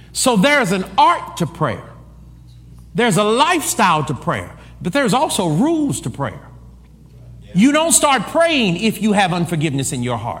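A man talks at a moderate pace in an animated tone, his high pitch making very wide swings. Audible room echo and noticeable background noise fill the recording. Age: 40s. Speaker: preacher. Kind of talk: sermon.

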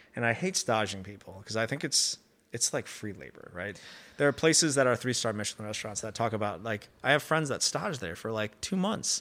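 In a plain, everyday voice, a man of medium pitch talks at a fairly quick pace with lively intonation and big swings in loudness. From US, Chicago area, Chinese immigrant family. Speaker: pizzeria owner. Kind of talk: casual interview chat. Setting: coffee shop.

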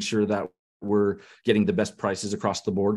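A man with a normal speaking voice, fairly low pitch, a General American accent, and a fairly quick pace against a quiet background. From US West, Denver, Colorado. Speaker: e-commerce entrepreneur. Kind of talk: interview.

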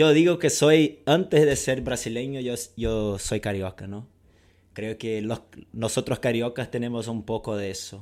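In a Portuguese accent, a man talks at a medium pitch. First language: Portuguese (speaking Spanish). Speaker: football coach and podcast co-host. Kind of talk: casual chat. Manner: halting, many repetitions.

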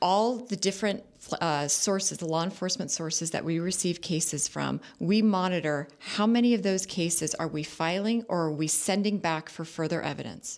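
A woman with a Californian accent, a fairly low pitch and hardly any pauses. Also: ordinary pitch variation, moderate pace. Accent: Californian American English. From Southern California, Orange County. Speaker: district attorney. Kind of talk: radio interview. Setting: radio studio.

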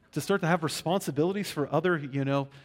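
A man speaks with an American accent. His pitch sits fairly high. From Western Pennsylvania, Pittsburgh. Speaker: pastor. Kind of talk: sermon. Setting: church.

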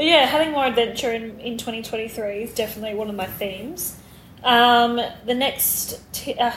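There is audible room echo around a woman who speaks at a moderate pace, her high-pitched voice showing ordinary pitch variation. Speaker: podcast co-host. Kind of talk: casual chat.

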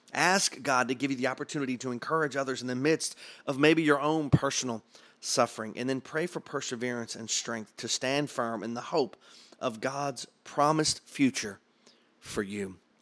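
A man with a normal speaking voice talks at a moderate pace and medium pitch, with ordinary pitch variation. The recording is very clean, with a silent background. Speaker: pastor leading a prayer challenge. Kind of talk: fervent prayer, spoken aloud to God.

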